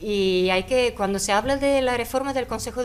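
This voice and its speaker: A woman speaks at a moderate pace with a non-native accent. Her pitch is fairly high, with ordinary pitch variation. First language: not Spanish (speaking Spanish). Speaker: panelist on international affairs. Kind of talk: panel debate. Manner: halting.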